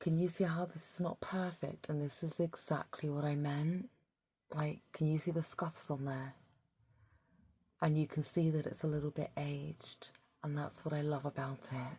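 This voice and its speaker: Calm and somewhat breathy, a woman speaks at a moderate pace with a very deep, low pitch, a dark, mellow tone and monotone, flat intonation. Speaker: psychotherapist and Reiki practitioner who makes ASMR videos. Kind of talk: soft-spoken ASMR talk to camera. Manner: soft-spoken, calm, intimate.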